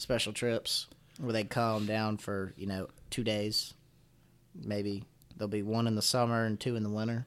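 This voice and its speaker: This man speaks in a Southern Appalachian accent at a fairly low pitch and a moderate pace. His intonation is flat and monotone, broken by long, frequent pauses. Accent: Southern Appalachian, slight to moderate. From Floyd, Virginia, Appalachia. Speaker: college wrestler and outdoors content creator. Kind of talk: casual interview conversation.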